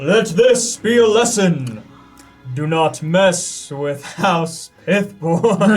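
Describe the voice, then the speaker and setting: A man's high, put-on character voice at a very slow pace with faint music in the background. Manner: commanding, declaring.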